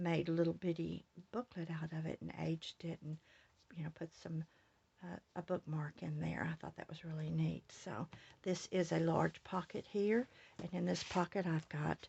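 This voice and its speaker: A woman speaks at a moderate pace with fairly even intonation. Her voice is fairly low-pitched and somewhat breathy. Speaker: scrapbook crafter. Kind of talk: crafting tutorial walkthrough. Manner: casual with many fillers.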